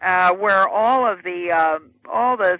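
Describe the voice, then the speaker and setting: A woman with an American accent speaks with a bright, sharp tone and ordinary pitch variation, recorded dry and close with no echo against a quiet background. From United States. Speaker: author and former education policy advisor. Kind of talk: interview answer.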